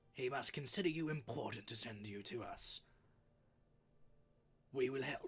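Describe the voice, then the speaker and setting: A raspy, put-on character voice with long, frequent pauses. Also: man, medium pitch for a man, moderate pace. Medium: actual play. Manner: terse, formal.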